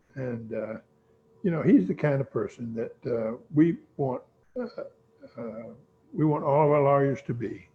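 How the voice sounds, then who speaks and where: A man with a fairly high pitch speaks at a moderate pace, his voice somewhat breathy. His intonation is lively, broken up by long, frequent pauses. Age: 80s+. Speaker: law firm founder. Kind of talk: interview. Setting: video call. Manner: halting.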